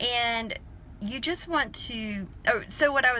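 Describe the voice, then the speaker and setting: The voice has a bright, sharp tone and speaks in a Southern US accent. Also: woman. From South Carolina, US South. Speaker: online business coach. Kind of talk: live stream talk. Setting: in a car in a parking lot.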